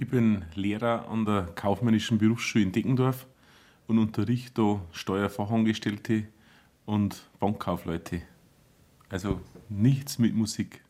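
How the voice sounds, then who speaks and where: At a fairly slow pace, a man speaks with fairly low pitch and fairly even intonation, leaving long, frequent pauses. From Bavarian Forest, Bodenmais. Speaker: band conductor and teacher. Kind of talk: casual chat.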